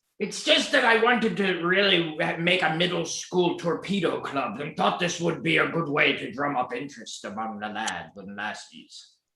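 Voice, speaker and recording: In a put-on character voice, a man speaks gruffly at a high pitch with very wide pitch swings. His pace is moderate, and there is a slight echo. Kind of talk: comic pirate talk. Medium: stage play. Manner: salty sea-dog slang, gruff.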